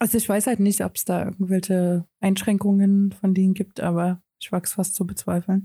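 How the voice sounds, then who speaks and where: A woman at medium pitch, somewhat breathy and dark, mellow in tone, flat and monotone at a moderate pace with hardly any pauses, in a dry, close, echo-free, very clean recording with a silent background. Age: 30s. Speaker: podcast co-host. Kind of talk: casual chat.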